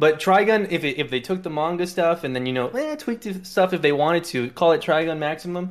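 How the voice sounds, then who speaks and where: A man speaks with a high pitch at a very fast pace. His pitch variation is ordinary. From South Texas, near the Mexican border. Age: 30s. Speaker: Twitch streamer and fighting game player. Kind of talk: casual chat.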